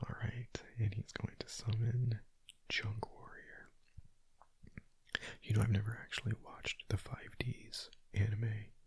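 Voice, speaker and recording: Someone whispers at a fairly slow pace. Long pauses come often. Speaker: gaming ASMR creator. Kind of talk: whispered gameplay commentary. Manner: whispering; casual.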